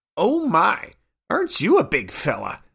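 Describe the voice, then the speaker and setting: A man uses a put-on character voice with an extremely high pitch. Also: moderate pace. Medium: read story. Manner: nagging.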